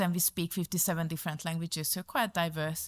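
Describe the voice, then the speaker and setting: A woman with a Hungarian accent talks at a fairly quick pace in a fairly low pitch. The recording is very clean with a silent background, and the sound is dry and close with no echo. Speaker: community services manager. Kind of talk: conference presentation. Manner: hesitant, many fillers.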